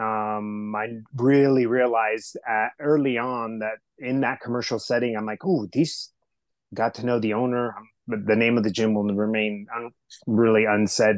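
A man with an American accent speaks at a moderate pace and medium pitch with fairly even intonation. An unremarkable speaking voice, against a quiet background. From Southern California, US. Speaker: health and wellness coach. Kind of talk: podcast interview.

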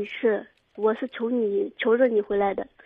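At a moderate pace, a woman with a fairly high pitch speaks in a monotone, flat intonation. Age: 20s. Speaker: caller. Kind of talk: call-in advice. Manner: halting.

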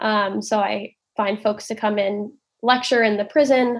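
A woman with a plain, everyday voice talks at a fairly high pitch with fairly even intonation. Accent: American. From Oakland, California. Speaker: nonprofit outreach manager. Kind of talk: casual interview.

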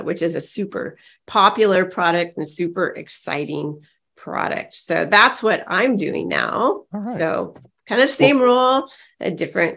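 A woman puts on a raspy character voice at a medium pitch. She speaks at a fairly slow pace. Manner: excited.

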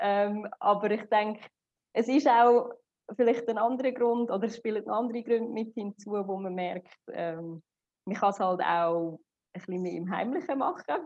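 Here a woman speaks with a Swiss accent at a fairly high pitch. Her pace is fairly slow and her pitch varies in an ordinary way. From Switzerland. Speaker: psychotherapist. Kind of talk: interview.

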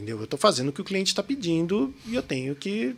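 In a São Paulo accent, a man speaks at a high pitch with very wide pitch swings. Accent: Paulista (São Paulo) Portuguese. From São Paulo, Brazil. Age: 40s. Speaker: illustrator and graphic designer. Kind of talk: casual chat.

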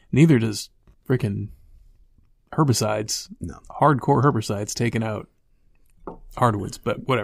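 With an American accent, a man at medium pitch sounds somewhat breathy and leaves long, frequent pauses. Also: ordinary pitch variation, moderate pace. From South Carolina. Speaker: podcast co-host, hunter. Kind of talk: casual chat.

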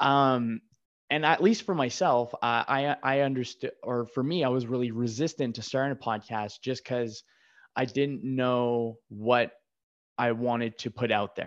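Over a quiet background, a man with an ordinary speaking voice talks at a fairly slow pace and a medium pitch. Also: fairly even intonation. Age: 30s. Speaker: podcast host. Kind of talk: casual interview conversation.

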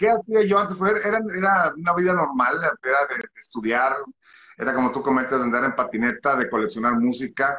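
This man's pitch is fairly high, his tone bright and sharp. His intonation is lively and his pace moderate. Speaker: musician and singer. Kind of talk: interview.

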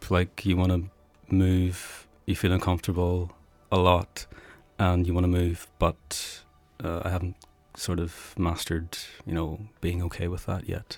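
A man with an Irish accent speaks at a fairly slow pace in a very deep, low pitch. His intonation is monotone and flat, on a very clean recording with a silent background. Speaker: philosophy student who meditates. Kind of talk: casual chat.

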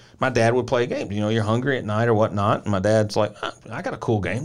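A man with a Tennessee accent talks very fast, keeping his intonation fairly even. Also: very clean recording, silent background. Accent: Southern US (Tennessee). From rural Middle Tennessee, US South. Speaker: podcast co-host, former basketball player. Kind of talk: casual chat.

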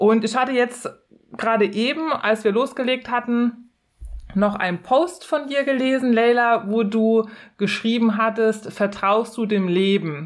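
Very even loudness at a fairly slow pace, with ordinary pitch variation. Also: woman. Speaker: podcast co-host with long covid. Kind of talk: casual chat. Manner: calm, quiet.

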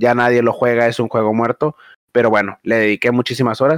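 A man with a Mexican accent speaks at a fairly quick pace, the sound dry and close with no echo. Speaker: podcast co-host. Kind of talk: casual chat.

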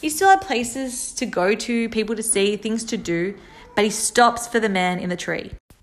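Noticeable background noise accompanies a woman whose fairly high voice moves at a moderate pace with ordinary pitch variation. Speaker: podcaster. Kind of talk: solo monologue podcast.

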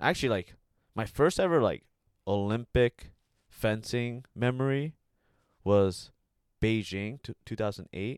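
Speaking very slowly with long, frequent pauses, a man with an American accent uses a medium pitch and ordinary pitch variation, recorded very cleanly over a silent background with a dry, close sound and no echo. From US, Bay Area, California. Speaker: Olympic fencer. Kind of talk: casual chat.

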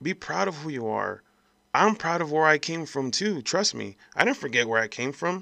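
A man speaks with a bright, sharp tone at a fairly high pitch over a quiet background. His pace is moderate and his intonation lively. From El Paso, Texas. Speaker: podcast host. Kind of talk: angry rant. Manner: heated, emphatic, profane; direct, repeated appeals to 'folks'.

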